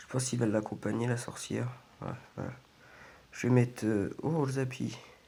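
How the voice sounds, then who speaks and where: A man at a medium pitch talks in a monotone, flat intonation, neither fast nor slow. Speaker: gaming youtuber. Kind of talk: gameplay commentary. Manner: hesitant, many fillers.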